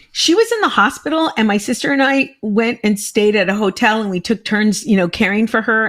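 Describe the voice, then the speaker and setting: Her tone animated, a woman speaks at a fairly quick pace with a fairly high pitch and lively intonation. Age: 60s. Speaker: comedian and podcast host. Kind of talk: casual chat.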